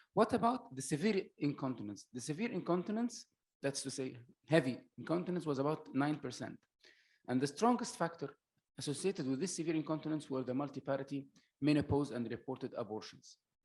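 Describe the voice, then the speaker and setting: The speaker sounds somewhat breathy, moving at a fairly quick pace with lively intonation. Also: man, fairly high pitch for a man. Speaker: medical doctor, conference speaker. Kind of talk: lecture. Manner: hesitant, many filler uhs.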